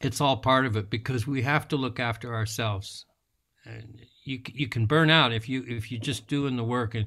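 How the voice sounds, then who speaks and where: A man speaks at a moderate pace with a bright, sharp tone. His intonation stays fairly even. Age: 70s. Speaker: environmental activist and author. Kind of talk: interview conversation. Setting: livestream video call. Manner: halting, many repetitions.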